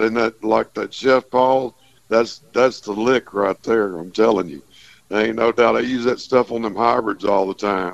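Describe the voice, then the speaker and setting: Recorded dry and close with no echo, a voice with a Texas accent speaks at a fairly slow pace with ordinary pitch variation. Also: man. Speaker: fishing guide. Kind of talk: radio call-in report.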